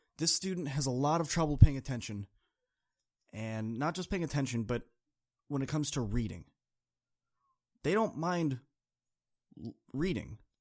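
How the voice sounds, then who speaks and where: Speaking at a moderate pace with lively intonation, a man with a fairly high voice leaves long, frequent pauses, recorded very cleanly against a silent background. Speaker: motivational speaker and podcast host. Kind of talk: podcast monologue. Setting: studio. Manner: energetic, amped up.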